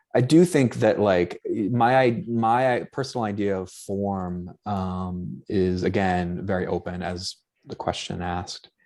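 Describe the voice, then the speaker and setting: Speaking at a very slow pace, a man with a slight Boston accent uses a fairly low pitch and ordinary pitch variation. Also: very clean recording, silent background. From Boston, US. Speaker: anthropologist, book contributor. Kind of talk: panel discussion. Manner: halting, many fillers.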